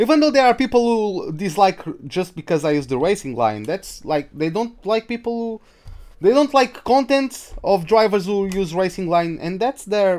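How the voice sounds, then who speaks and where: A man with a Portuguese accent speaks at a moderate pace, his high-pitched voice making very wide pitch swings. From Portugal. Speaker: gaming streamer. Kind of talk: live gameplay commentary. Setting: live stream. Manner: casual, halting.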